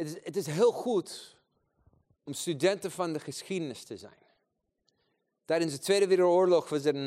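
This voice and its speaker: A man with a fairly high pitch and ordinary pitch variation speaks in an animated tone at a moderate pace. His loudness swings widely, and he takes long, frequent pauses. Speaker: preacher. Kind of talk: sermon with prayer, passionate preaching to a congregation. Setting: church gathering with audience. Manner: animated, fervent, exhortative.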